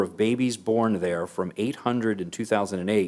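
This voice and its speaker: This man speaks in an ordinary speaking voice, fairly low in pitch, with fairly even intonation. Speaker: council meeting presiding official. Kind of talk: formal proclamation reading. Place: hall. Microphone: podium.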